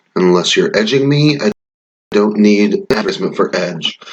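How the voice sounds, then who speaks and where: A man speaks quietly at a fairly slow pace, his pitch swinging very widely. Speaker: YouTuber. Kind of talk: casual gaming-style quiz commentary.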